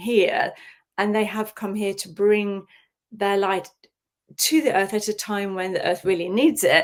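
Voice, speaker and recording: A woman's fairly high voice with ordinary pitch variation at a moderate pace. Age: 60s. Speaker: shaman and healer. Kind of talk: casual interview chat. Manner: halting, many fillers.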